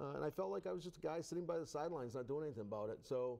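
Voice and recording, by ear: Very fast in pace, a man speaks with a fairly high pitch, a dark, mellow tone and vocal fry. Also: lively intonation.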